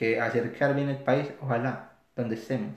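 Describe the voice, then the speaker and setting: A man's medium-pitched voice with a Paisa Colombian accent, fairly even intonation and audible room echo. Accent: Colombian paisa Spanish (voseo). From Colombia, Antioquia (Caldas, near Medellín). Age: 30s. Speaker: psychologist, recent immigrant. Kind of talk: podcast interview.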